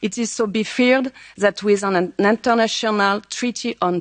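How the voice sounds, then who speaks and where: A woman with a French accent speaks at a moderate pace in a medium pitch, with ordinary pitch variation and a dry, close sound with no echo. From France. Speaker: member of parliament. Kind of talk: conference speech. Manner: halting.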